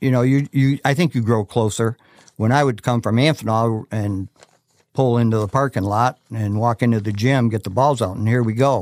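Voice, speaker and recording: Recorded dry and close with no echo, a man talks in a plain, everyday voice at medium pitch. His pace is moderate and his intonation fairly even. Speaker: retired basketball coach. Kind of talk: casual interview chat. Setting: studio.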